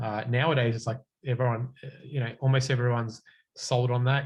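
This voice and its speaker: With an Australian accent, a man speaks at a fairly quick pace in a medium pitch, his intonation monotone and flat and his voice somewhat breathy. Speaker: cloud consultant, guest speaker. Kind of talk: technical talk with Q&A.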